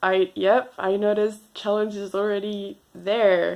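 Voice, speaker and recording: A woman speaks at a very slow pace in a French accent. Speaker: vlogger. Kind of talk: unscripted personal vlog. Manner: halting, hesitant.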